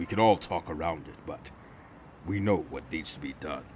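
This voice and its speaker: In a put-on character voice, a man growls out raspy lines at a very deep, low pitch and a moderate pace. His loudness swings widely, and clear background noise sits underneath. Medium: audio drama. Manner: terse, grave.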